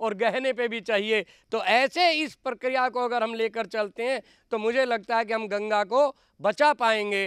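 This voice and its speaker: A man's voice in a very clean recording with a silent background, the sound dry and close with no echo. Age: 70s. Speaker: activist. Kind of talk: public speech. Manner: animated.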